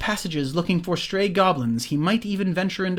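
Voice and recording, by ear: The clip is reading aloud in a natural voice. Its pitch varies in an ordinary way.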